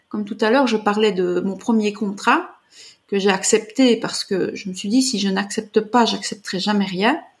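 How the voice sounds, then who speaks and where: Somewhat breathy, a woman talks at a moderate pace with a fairly high pitch. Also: ordinary pitch variation. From Belgium. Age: 40s. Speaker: artist and artist coach. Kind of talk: interview.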